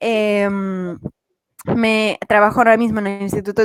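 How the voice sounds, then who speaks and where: A woman with a Madrid accent and a fairly high pitch, in a dry, close sound with no echo. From Madrid, Spain. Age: 20s. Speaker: cancer researcher. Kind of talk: talk to students.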